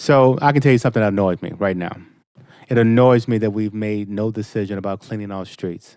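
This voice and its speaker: A man with an American accent talks at a fairly quick pace, fairly low in pitch with ordinary pitch variation, in an ordinary speaking voice. The recording is very clean, with a silent background. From Boston, Mattapan. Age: 50s. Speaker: state representative. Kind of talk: interview.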